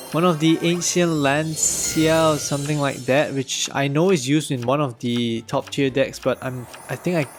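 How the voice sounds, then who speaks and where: Over background music, a man with a fairly high voice talks at a moderate pace with fairly even intonation and hardly any pauses. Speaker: gaming YouTuber. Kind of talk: casual gameplay commentary.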